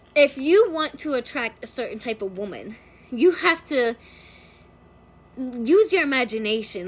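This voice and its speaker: With an American accent, a woman talks at a fairly slow pace in a high voice with lively intonation. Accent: slight country twang at times. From Philadelphia and Florida, US. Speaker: tarot reader. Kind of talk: casual livestream tarot reading. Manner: animated, filler-heavy casual talk.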